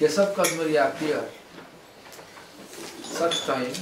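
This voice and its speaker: A man talks with fairly even intonation while audible room echo and noticeable background noise surround him. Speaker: spiritual teacher. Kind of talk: lecture.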